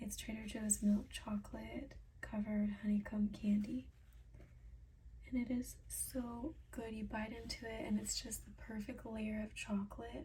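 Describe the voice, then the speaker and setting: A soft-spoken woman speaks at a fairly slow pace. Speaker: ASMR creator. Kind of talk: ASMR product reading.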